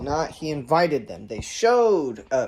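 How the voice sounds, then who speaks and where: A man speaks with lively intonation. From Chile and Southern California. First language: Spanish. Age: 20s. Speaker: vlogger. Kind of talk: opinion monologue. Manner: halting, many fillers.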